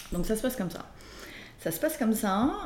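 Lively in her intonation, a woman speaks amid audible room echo. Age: 40s. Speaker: entrepreneur sharing her life story. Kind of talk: personal testimony interview. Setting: casual aperitif among friends. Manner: hesitant, with frequent fillers.

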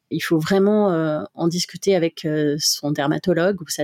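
A woman with a fairly low-pitched voice and a dark, mellow tone uses ordinary pitch variation, recorded dry and close with no echo on a very clean track with a silent background. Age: 40s. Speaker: heart-lung transplant patient and association volunteer. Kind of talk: testimony. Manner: hesitant with fillers.

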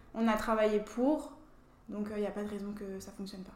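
Over noticeable background noise and audible room echo, a woman speaks at a fairly quick pace in a fairly high pitch with monotone, flat intonation. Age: 20s. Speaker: beauty pageant winner and dental student. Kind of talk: interview.

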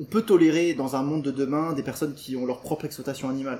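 A man's dark, mellow voice, fairly high in pitch, at a fairly quick pace. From rural France, Portuguese farming family. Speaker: vegan nutritionist and trainer. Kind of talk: interview. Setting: house open to the jungle, in person.

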